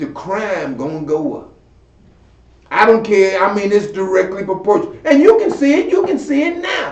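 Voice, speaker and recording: Noticeable background noise sits behind a man with a high-pitched voice. His pitch swings very widely, his loudness swings a lot, and he leaves long, frequent pauses. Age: 70s. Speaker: community elder and commentator. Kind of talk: talk show commentary. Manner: halting, repeating words; animated.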